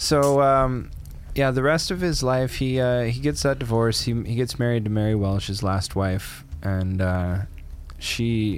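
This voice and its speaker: A man's lively intonation amid audible room echo. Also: medium pitch for a man, fairly slow pace. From Canada. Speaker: podcast co-host. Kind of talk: casual chat.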